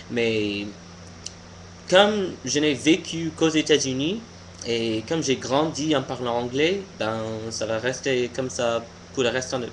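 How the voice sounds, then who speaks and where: Over noticeable background noise, a man with an American accent speaks at a very slow pace with lively intonation and long, frequent pauses. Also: medium pitch for a man. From US, Pennsylvania. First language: English (speaking French). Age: 20s. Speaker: vlogger. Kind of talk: casual opinion vlog monologue. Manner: halting, many hesitations and restarts.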